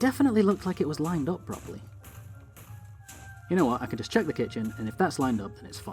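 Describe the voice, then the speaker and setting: Very fast talk from a man with a Northern English accent, fairly high in pitch with very wide pitch swings, music in the background. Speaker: let's play YouTuber. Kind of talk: gameplay commentary. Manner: casual, chatty.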